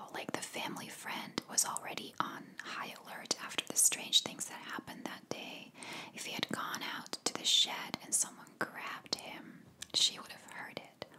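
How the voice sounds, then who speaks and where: Against loud background noise, a soft-spoken woman whispers at a moderate pace. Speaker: true crime narrator. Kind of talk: casual true crime storytelling. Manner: soft close-mic ASMR whisper. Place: home room. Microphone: studio mic.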